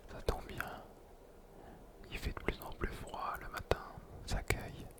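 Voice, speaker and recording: A man's whisper at a very slow pace, with big swings in loudness and noticeable background noise. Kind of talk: casual talk to camera. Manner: whispered.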